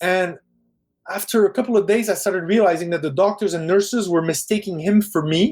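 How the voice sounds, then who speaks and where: A man talks at a fairly quick pace with a Parisian accent. His pitch is high and varies in an ordinary way. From Quebec, English part of town, French family. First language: French. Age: 40s. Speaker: film director. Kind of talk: casual interview chat.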